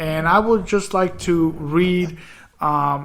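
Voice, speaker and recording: Fairly even intonation in a man's fairly high-pitched voice. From Mississippi. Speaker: internet radio host. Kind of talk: political talk radio commentary. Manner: halting, many fillers and repetitions.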